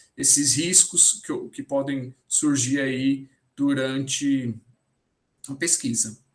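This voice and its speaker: Pausing long and often, a man speaks very slowly at a fairly high pitch with fairly even intonation. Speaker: mathematics education researcher. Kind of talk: lecture Q&A. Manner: halting; soft-spoken.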